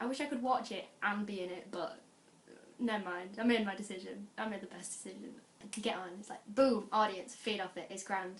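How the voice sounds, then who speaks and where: A woman with a northern English accent and a medium pitch talks fairly quickly, with fairly even intonation and big swings in loudness. Audible room echo and noticeable background noise fill the recording. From northern England, Lancashire (Adlington, near Bolton). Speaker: student and amateur actor, vlogger. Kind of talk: casual vlog chat. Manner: chatty, informal.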